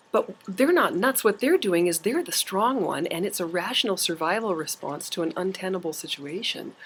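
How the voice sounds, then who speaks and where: A woman speaks at a moderate pace with hardly any pauses and a medium pitch. Her tone is animated and her intonation lively. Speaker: university lecturer. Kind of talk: lecture. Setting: campus office, on video.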